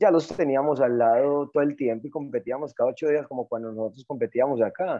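A man's fairly high-pitched, ordinary speaking voice at a fairly quick pace, with hardly any pauses and ordinary pitch variation. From Colombia, Antioquia (Caldas). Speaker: mountain bike coach. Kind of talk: interview.

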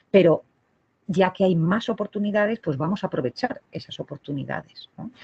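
A somewhat breathy woman's voice at medium pitch and moderate pace, with big swings in loudness and a dry, close sound with no echo. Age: 40s. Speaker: psychologist at abortion clinic. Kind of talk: interview. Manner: halting, repeats words.

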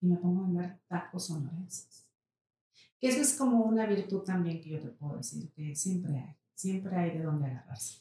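A dark, mellow tone comes through, somewhat breathy. Speech moves at a moderate pace. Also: woman. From Mexico, Saltillo. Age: 40s. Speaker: entrepreneur. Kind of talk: interview.

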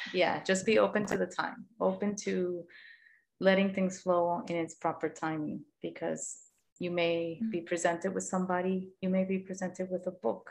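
A woman with a plain, everyday voice talks at a fairly low pitch and a moderate pace. Her intonation is fairly even, and the background is quiet. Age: 40s. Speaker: podcast host, yoga teacher. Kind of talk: casual interview chat.

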